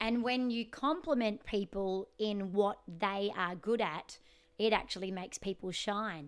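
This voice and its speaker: Speaking in an Australian accent, a woman uses an animated tone at a medium pitch and a fairly slow pace. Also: ordinary pitch variation. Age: 30s. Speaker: podcast host, singer and life coach. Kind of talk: casual interview chat. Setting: remote call.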